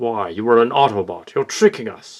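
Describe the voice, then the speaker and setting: At a moderate pace and medium pitch, a man performs a put-on character voice with ordinary pitch variation. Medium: audio drama. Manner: cold, clipped, commanding.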